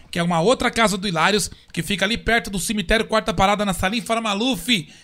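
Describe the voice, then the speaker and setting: Raised and projected, a man's voice comes through high-pitched and bright, with a sharp tone. He talks at a fairly quick pace. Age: 30s. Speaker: podcast host. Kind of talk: casual chat. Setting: studio.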